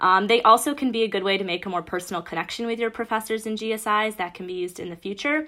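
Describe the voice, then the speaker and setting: In an American accent, a woman talks at a very fast pace with hardly any pauses, her fairly high voice bright and sharp with ordinary pitch variation. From Michigan, Bloomfield Hills. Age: 20s. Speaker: university student. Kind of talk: casual chat.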